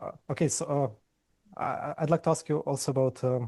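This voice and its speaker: A somewhat breathy voice with a dark, mellow tone and fairly even intonation comes through in a dry, close sound with no echo. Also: man. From Ukraine. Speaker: podcast host, interviewer. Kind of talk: interview. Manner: halting, many fillers and repeated words; stutters on word starts.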